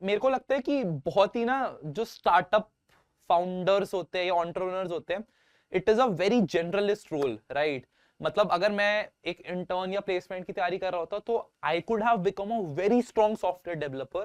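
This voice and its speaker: The background is quiet. A man's pitch varies in an ordinary way. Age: 20s. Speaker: startup founder. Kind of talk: interview. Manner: casual.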